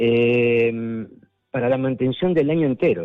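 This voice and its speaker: A man with a normal speaking voice talks at a fairly slow pace, his pitch varying in an ordinary way. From Argentina. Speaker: artist. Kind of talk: radio interview.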